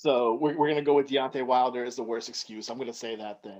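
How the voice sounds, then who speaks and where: A man talks at a medium pitch in an ordinary speaking voice, his pitch varying in an ordinary way. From US, Connecticut. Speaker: podcast host. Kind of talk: casual interview.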